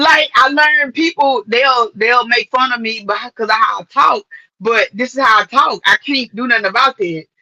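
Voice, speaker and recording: A woman speaks at a moderate pace in a high voice with lively intonation and a Louisiana accent, the sound dry and close with no echo. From Louisiana, rural. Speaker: model and actress. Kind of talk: casual interview chat.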